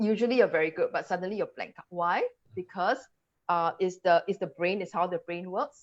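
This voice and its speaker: A woman speaks with a Singaporean accent. She keeps a moderate pace. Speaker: English language coach. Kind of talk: webinar presentation. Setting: live video webinar.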